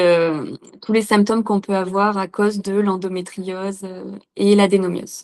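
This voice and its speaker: Monotone, flat intonation from a woman at medium pitch. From central France, Corrèze. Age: 20s. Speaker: patient sharing her experience. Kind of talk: interview testimony. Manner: hesitant, many fillers.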